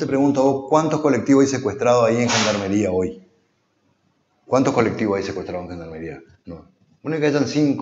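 A man speaks fairly quickly with big swings in loudness and long, frequent pauses, with light background noise and audible room echo. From Corrientes, Argentina. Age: 50s. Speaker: politician, council candidate. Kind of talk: political interview. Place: studio. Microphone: lapel.

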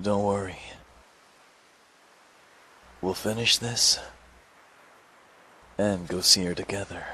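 Doing a put-on character voice, a man talks slowly in a low, bright and sharp tone with fairly even intonation, long and frequent pauses, and audible room echo.

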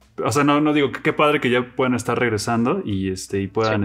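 Speaking very fast, a man talks with a Mexican accent. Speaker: podcast host. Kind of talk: casual interview chat. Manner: halting.

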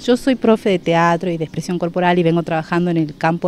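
In a dry recording with no echo, a woman speaks at a fairly low pitch. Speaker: theatre teacher. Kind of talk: interview answer. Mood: friendly, upbeat.

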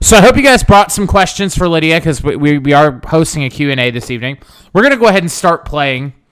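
Lively intonation carries a man's fairly high voice as he speaks at a very fast pace. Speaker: gaming livestream host. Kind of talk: casual livestream chat. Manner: rambunctious.

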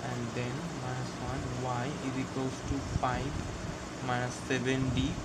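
Loud background noise surrounds the man's speech. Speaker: tutor. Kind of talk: tutorial. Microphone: phone near.

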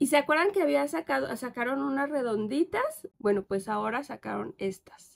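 A woman's animated voice at a moderate pace, with hardly any pauses. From Mexico, Querétaro. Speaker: plant YouTuber. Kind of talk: casual vlog haul. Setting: outdoors in garden. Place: garden. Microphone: phone near.

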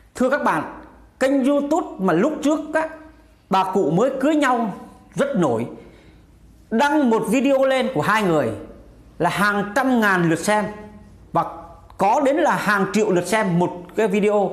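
In a room with audible echo, a man with a high voice and lively intonation speaks at a fairly slow pace, keeping his loudness very even and leaving long, frequent pauses. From Vietnam. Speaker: YouTube commentary vlogger. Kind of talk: casual monologue commentary. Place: home room. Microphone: lapel.

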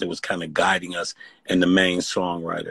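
A man with an American accent speaks at a fairly quick pace in a very deep, low pitch. The sound is dry with no echo, and the background is quiet. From US Midwest, East Cleveland, Ohio; Ohio. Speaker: singer; interview guest. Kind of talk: casual chat. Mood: earnest, reflective. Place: home room. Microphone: phone near.

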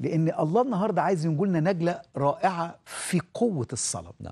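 With lively intonation, a man speaks in a dark, mellow tone. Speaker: pastor. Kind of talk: sermon. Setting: studio. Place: studio. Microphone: lapel.

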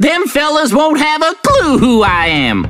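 A man performs a put-on character voice at a moderate pace. Faint music plays in the background. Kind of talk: folksy.

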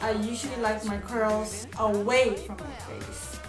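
Over clear music in the background, a woman talks at a very slow pace. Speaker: hair tutorial vlogger. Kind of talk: casual talk to camera. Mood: annoyed, in pain. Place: bathroom. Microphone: phone near.

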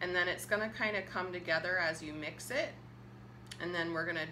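A woman speaks at a fairly low pitch, her tone bright and sharp, with vocal fry. Noticeable background noise is present. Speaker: cooking co-host. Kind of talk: casual cooking demo explanation. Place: kitchen. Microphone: camera far.

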